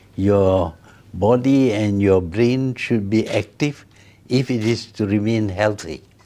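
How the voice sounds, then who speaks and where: A man with a fairly low pitch and a dark, mellow tone speaks very slowly, with ordinary pitch variation and very even loudness. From Malaysia. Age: 80s+. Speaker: former prime minister. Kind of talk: interview answer.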